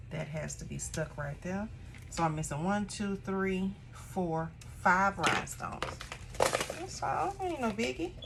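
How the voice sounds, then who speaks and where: A woman talks at a fairly slow pace, and noticeable background noise is present. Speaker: craft tutorial creator, small shop owner. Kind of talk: tutorial. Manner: casual, chatty; lowered, relaxed voice.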